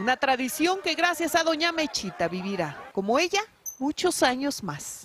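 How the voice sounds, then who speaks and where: Over noticeable background noise, a woman speaks fairly slowly in a high voice with very wide pitch swings. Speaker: TV news reporter. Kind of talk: TV news report narration.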